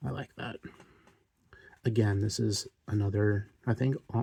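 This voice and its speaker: Quiet and somewhat breathy, a man with a medium pitch and a dark, mellow tone speaks at a fairly slow pace in a relaxed tone, the sound dry and close with no echo in a very clean recording with a silent background. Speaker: card collector youtuber. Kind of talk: casual chat. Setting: home recording at night.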